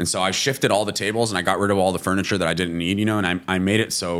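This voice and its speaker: Very deep and low, a man's voice moves at a very fast pace. His intonation stays fairly even. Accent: Californian. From California, US. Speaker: restaurant founder. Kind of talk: casual interview.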